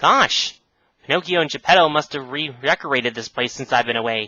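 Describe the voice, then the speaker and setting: A man puts on a character voice at a medium pitch and talks at a fairly quick pace. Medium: read story. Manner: folksy, exclamatory.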